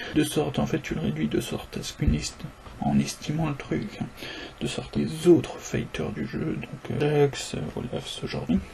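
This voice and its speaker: A man whispers quietly at a moderate pace. Noticeable background noise is present. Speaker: gamer discussing game balance. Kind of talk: casual spoken monologue. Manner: near-whispered, quiet.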